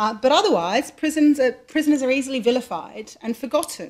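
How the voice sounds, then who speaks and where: Her pitch high and its variation ordinary, a woman speaks at a moderate pace with an Australian accent. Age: 40s. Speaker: charity chief executive, lawyer. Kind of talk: public lecture. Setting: lecture hall with live audience.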